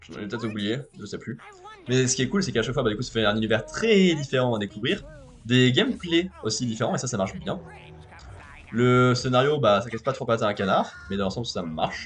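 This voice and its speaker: Over music in the background, a man races along at a very fast pace with lively intonation and medium pitch. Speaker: video game streamer. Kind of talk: casual chat.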